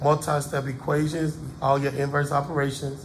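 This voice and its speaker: With audible room echo, a man speaks at a moderate pace in a fairly high pitch. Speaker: math teacher. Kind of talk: tutorial. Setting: classroom. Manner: casual.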